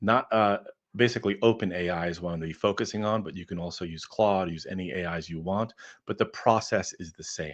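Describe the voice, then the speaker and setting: Against a quiet background, a man talks at a very fast pace. His voice is very deep and low, with ordinary pitch variation. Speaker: B2B sales and marketing consultant. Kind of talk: live webinar presentation. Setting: online livestream with chat.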